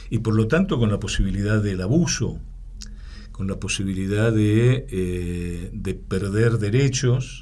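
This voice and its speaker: With an Argentine accent, a man speaks at a fairly low pitch and a very slow pace over noticeable background noise and audible room echo. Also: ordinary pitch variation. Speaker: political science professor. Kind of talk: interview. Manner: hesitant, many fillers.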